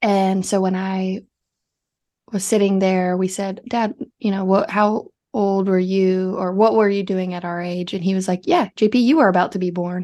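In a normal speaking voice, a woman talks at a moderate pace and medium pitch with fairly even intonation against a quiet background. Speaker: podcast co-host. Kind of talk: casual chat.

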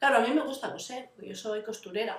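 A woman is speaking. Her voice is fairly high. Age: 40s. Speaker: vlogger living with fibromyalgia. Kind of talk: casual personal vlog. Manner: halting, many fillers.

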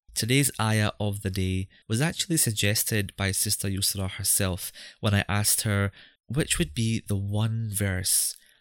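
Fairly low in pitch, a man speaks in a Scottish accent at a fairly slow pace. His pitch variation is ordinary. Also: very even loudness, very clean recording, silent background. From Scotland. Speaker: podcast host. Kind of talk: podcast intro and interview.

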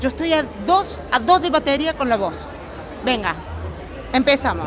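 The speaker has an animated tone at a moderate pace, with music in the background. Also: woman. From Argentina. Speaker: podcast co-host, dog groomer. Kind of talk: casual chat. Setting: trade show event.

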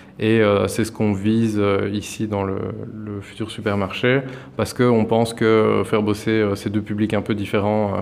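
Amid noticeable background noise, a man talks at a moderate pace with a fairly low pitch and a monotone, flat intonation. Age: 20s. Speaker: cooperative grocery founder. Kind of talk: interview. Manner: hesitant, many fillers.

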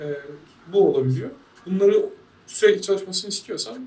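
The man's voice shows ordinary pitch variation. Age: 20s. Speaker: programmer. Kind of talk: casual chat.

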